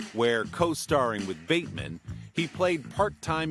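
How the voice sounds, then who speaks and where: Music plays in the background while a man's pitch swings very widely. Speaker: TV interviewer. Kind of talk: TV news feature narration.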